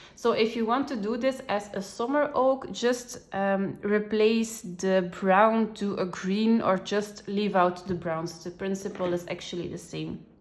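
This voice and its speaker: Over noticeable background noise, a woman with a non-native accent talks with hardly any pauses. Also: medium pitch for a woman, ordinary pitch variation, fairly slow pace. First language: not English. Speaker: coloring tutorial creator. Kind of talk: tutorial. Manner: hesitant, many fillers.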